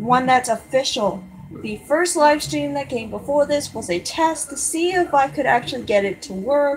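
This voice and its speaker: A woman's pitch swings very widely as she talks at a fairly slow pace amid noticeable background noise. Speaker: drawing livestreamer. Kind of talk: casual live stream commentary while drawing. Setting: live stream. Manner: halting.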